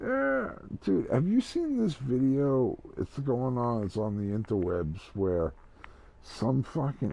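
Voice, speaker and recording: A man with an American accent speaks at a very slow pace. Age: 50s. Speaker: gaming livestreamer. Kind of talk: casual chat. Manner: animated.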